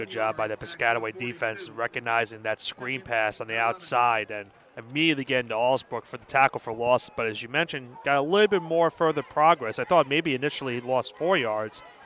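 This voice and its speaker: A man with a New York accent speaks at medium pitch and a fairly quick pace, with hardly any pauses and ordinary pitch variation. His loudness swings widely, and the sound is dry and close with no echo. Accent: Staten Island. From Staten Island, New York. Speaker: color commentator. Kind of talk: live commentary.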